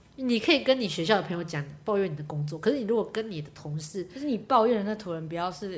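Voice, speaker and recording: Against noticeable background noise, a woman speaks at a very fast pace with lively intonation. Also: medium pitch for a woman, big swings in loudness. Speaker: event planner. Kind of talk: casual chat. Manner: loud.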